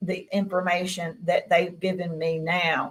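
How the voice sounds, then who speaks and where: In a Mississippi accent, a woman speaks fairly slowly at a medium pitch. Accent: Southern US (Mississippi). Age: 60s. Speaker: experiencer guest. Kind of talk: interview.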